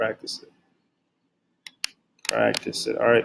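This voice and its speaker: A man is speaking here. He is soft-spoken. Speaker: trading educator. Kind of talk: tutorial. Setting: at workplace. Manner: monotone. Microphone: quiet, turn volume up.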